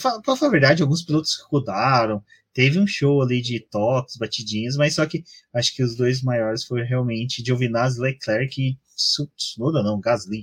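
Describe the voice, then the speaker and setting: The voice is somewhat breathy, with ordinary pitch variation. It keeps a moderate pace. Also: man, medium pitch for a man. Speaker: podcast host. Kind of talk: casual chat.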